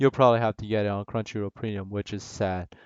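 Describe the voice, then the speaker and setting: A man with a fairly low pitch speaks with a non-native accent. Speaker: anime reviewer. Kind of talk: casual review talk to camera. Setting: low-quality home mic.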